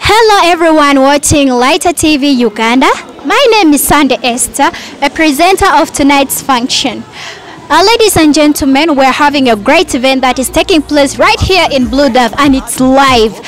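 A woman with a high pitch talks at a moderate pace, with a dry sound with no echo and light background noise. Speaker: TV presenter. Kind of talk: live event presenting. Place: street. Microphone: handheld.

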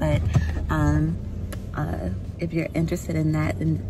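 Fairly slow female speech against loud background noise. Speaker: family vlogger. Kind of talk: casual vlog chat. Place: car. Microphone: phone near.

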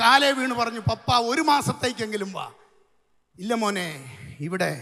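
Against a quiet background, a man speaks at an extremely high pitch with ordinary pitch variation. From Kerala, India. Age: 60s. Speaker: pastor. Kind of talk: sermon. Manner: animated. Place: tent. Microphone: handheld.

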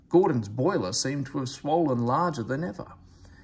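Unforced reading voice

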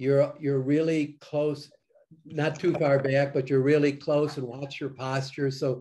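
Against a quiet background, a man speaks at a moderate pace in a dark, mellow tone. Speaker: presentation coach and judge. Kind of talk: critique feedback. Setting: video call. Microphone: video call.

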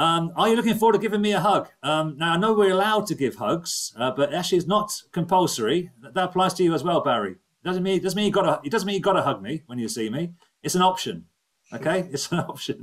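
Against a quiet background, a man talks very fast in a high pitch with lively intonation. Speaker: webinar host. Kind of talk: casual presenting to online audience. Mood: jokey, warm.

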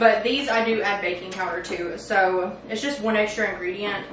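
A woman talks at a fairly quick pace with fairly even intonation. The room echoes audibly and there is noticeable background noise. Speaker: home cook vlogger. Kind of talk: casual vlog chat. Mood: relaxed, friendly. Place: kitchen.

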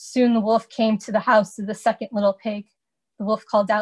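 The background stays quiet behind an unforced reading voice.

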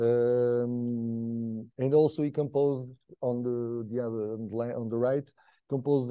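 Here a man speaks at a medium pitch with a dark, mellow tone. His intonation is fairly even and his pace very slow. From Portugal. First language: Portuguese. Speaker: PhD researcher. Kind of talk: lecture. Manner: halting.

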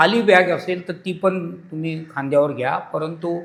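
A man's voice with ordinary pitch variation. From Mumbai, India. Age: 70s. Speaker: founder of a pilgrimage group. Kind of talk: interview.

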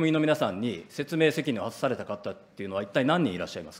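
This man's pitch swings very widely as he talks. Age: 40s. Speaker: opposition politician. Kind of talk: parliamentary questioning. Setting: parliament committee room. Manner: formal. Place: hall. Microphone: podium.

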